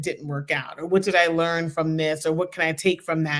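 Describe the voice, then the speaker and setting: An animated woman with an American accent speaks fairly quickly at a fairly low pitch. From US Northeast, Philadelphia. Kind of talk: interview conversation. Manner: loud.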